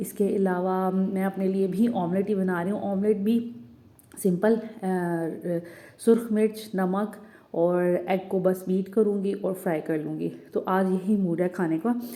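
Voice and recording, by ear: At a fairly slow pace, a woman speaks in a dark, mellow tone of medium pitch with fairly even intonation.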